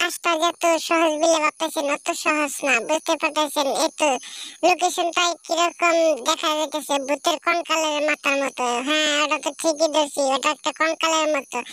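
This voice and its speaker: This cartoonish character voice sits at a high pitch with monotone, flat intonation. It moves along at a moderate pace. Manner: lecturing, repeats "understand?".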